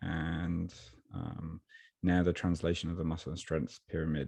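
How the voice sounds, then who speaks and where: Over a quiet background, a man with an English accent speaks in a dark, mellow tone. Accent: non-Japanese accent, English. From Birmingham, England. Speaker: online strength and nutrition coach, author. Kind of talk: podcast interview.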